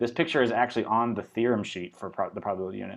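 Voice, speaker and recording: The speech runs at a very fast pace with ordinary pitch variation over a quiet background. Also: man. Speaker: high school math teacher. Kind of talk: recorded lecture. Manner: casual, with fillers.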